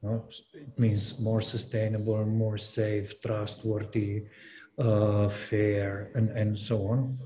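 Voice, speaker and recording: Over light background noise, a man speaks very slowly in a fairly low, somewhat breathy voice with a dark, mellow tone, monotone, flat intonation and very even loudness. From Slovenia. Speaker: gallery curator; panelist. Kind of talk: panel discussion. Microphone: video call.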